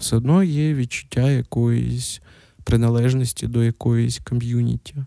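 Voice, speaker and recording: Recorded dry and close with no echo, a man talks at a fairly slow pace. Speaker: podcast host. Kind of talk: solo casual monologue. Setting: at home.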